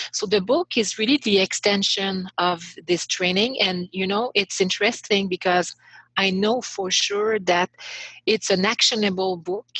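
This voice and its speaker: Fairly slow and fairly even in intonation, a woman speaks at a medium pitch. The sound is dry and close, with no echo. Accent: Quebec. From Quebec, Montreal. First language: French. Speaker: author and leadership coach. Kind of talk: podcast interview. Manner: halting, many fillers.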